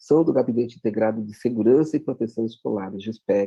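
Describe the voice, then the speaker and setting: This man has an unremarkable speaking voice at a medium pitch. He talks at a fairly quick pace with fairly even intonation. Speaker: education official. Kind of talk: presentation.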